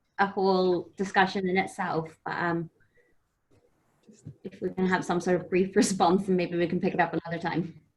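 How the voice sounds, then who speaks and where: Talking at a fairly quick pace, a woman at medium pitch leaves long, frequent pauses. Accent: Irish. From Ireland. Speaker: audience member. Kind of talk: audience question. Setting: video call. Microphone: unstable internet connection.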